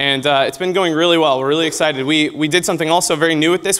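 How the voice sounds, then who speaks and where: A man speaks very fast in a fairly high voice, his intonation fairly even. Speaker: game designer at a convention. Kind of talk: conference presentation.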